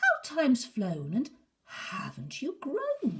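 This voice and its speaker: This put-on character voice is pitched high. Its delivery is very slow. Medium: read story.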